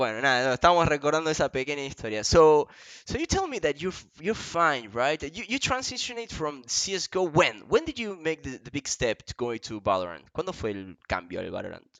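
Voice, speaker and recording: A man with an Argentine accent, fairly high-pitched, very fast and with hardly any pauses, his pitch swinging very widely. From Argentina. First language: Spanish. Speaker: esports interviewer. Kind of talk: bilingual interview.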